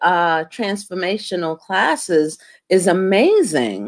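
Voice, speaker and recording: In a quiet background, a woman with a medium pitch talks at a very slow pace. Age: 50s. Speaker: talk show host. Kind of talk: interview. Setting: video call. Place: home room. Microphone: webcam.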